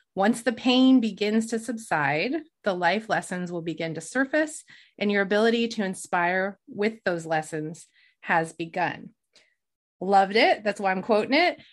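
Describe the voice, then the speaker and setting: This woman has an ordinary speaking voice and talks at a moderate pace with lively intonation. The background is quiet. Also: medium pitch for a woman. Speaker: podcast host. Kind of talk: podcast interview, casual chat. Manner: warm, empathetic.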